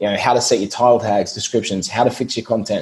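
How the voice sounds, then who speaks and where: A man is speaking. He has an Australian accent. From Australia, Brisbane. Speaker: SEO business owner. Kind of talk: podcast interview.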